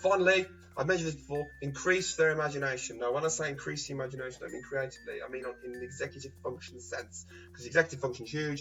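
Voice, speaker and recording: A man with a British accent, fairly high in pitch, very fast, with lively intonation, big swings in loudness and music in the background. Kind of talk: vlog monologue.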